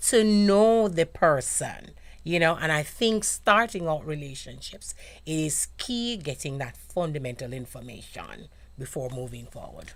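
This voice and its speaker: In a Jamaican accent, a woman speaks at a fairly slow pace with a fairly low pitch, very wide pitch swings and big swings in loudness. The recording is very clean, with a silent background. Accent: Jamaican patois dialect. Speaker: radio show guest. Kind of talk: casual chat. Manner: chatty.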